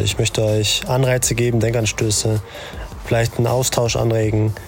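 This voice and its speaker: At a fairly quick pace, a man talks in a calm tone with medium pitch and monotone, flat intonation over noticeable background noise. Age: 30s. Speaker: podcast host. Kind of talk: monologue.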